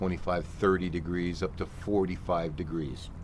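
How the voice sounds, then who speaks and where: Moderate pace from a man with a very deep, low voice, plus audible room echo. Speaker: flight simulator instructor. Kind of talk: tutorial. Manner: animated.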